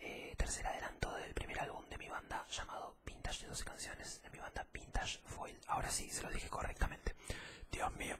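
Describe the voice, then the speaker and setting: A man whispering at a moderate pace. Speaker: vlogger. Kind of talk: casual vlog chat, ASMR-style. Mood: grateful, warm. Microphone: studio mic.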